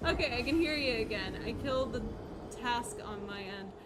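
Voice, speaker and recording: Noticeable background noise runs behind a woman talking at a moderate pace. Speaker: video game streamer. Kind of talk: live gameplay commentary. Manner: loud; casual, rambling.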